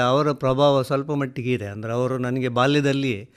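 Using a plain, everyday voice, a man talks in a medium pitch, his intonation fairly even. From coastal Karnataka, Udupi district (Karkala). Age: 60s. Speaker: writer and retired college principal. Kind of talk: radio interview.

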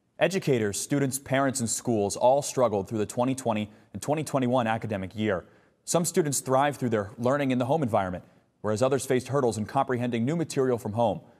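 Over a very clean recording with a silent background, a man talks very fast at a medium pitch with ordinary pitch variation. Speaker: broadcast journalist. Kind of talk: TV news anchor and reporter read.

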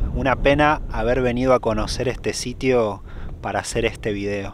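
The man talks at a moderate pace with fairly even intonation. The sound is dry with no echo, over light background noise. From Argentina. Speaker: YouTuber travel vlogger. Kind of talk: vlog narration; interview. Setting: outdoors. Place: open country. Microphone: phone near.

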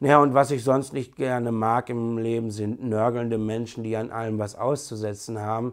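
The speech moves at a moderate pace with hardly any pauses in a monotone, flat intonation, over a quiet background. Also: man, medium pitch for a man. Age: 30s. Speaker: bus driver and hobby landscape photographer. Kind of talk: personal introduction video. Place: home room.

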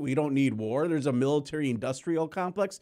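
A man with an American accent speaks in an ordinary speaking voice at a moderate pace, his fairly high pitch moving with ordinary variation over a very clean recording with a silent background. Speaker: producer and protest journalist. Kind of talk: interview. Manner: casual.

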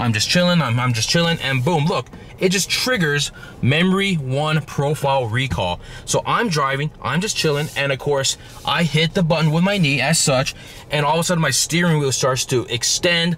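A man talks at a moderate pace with very even loudness and ordinary pitch variation. The sound is dry with no echo, over light background noise. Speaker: car vlogger. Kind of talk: casual vlog chat. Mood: joking, mildly annoyed. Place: car. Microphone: phone near.

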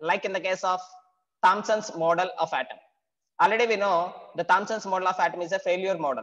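A man's high voice, fairly quick and fairly even in intonation, over a quiet background. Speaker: teacher. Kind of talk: lecture. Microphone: webcam.

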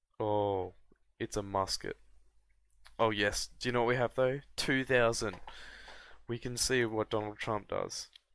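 With an Australian accent, a man speaks at a medium pitch and a fairly slow pace, his intonation fairly even and his pauses long and frequent, in a very clean recording with a silent background. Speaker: gaming youtuber. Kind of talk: gameplay commentary.

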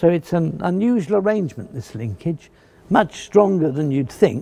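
Vocal fry runs through a dark, mellow tone. The pace is moderate, and the pitch swings are big. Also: man, fairly high pitch for a man.

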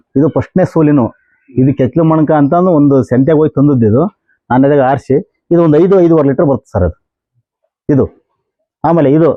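This is a normal speaking voice from a man. His pitch is fairly high, with ordinary variation. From Karnataka, Chitradurga district. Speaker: dairy farmer. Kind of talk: casual interview on farm.

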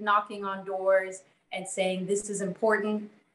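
A woman speaks at a medium pitch in an American accent. Room echo is audible. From US Mid-Atlantic (Maryland / DC area); US Mid-Atlantic. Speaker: consumer credit advocate; panelist. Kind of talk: online panel discussion. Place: home room. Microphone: webcam.

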